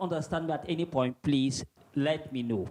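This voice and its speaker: With a Cameroonian accent, a man speaks at a moderate pace in a dark, mellow tone, recorded dry and close with no echo. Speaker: visiting Fulbright scholar, teacher. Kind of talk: presentation. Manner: formal.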